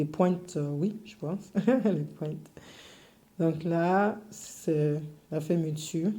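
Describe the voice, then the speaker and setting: With a slight English accent, the speaker goes at a very slow pace with long, frequent pauses. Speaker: cake decorating teacher. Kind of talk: tutorial. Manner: halting, many fillers.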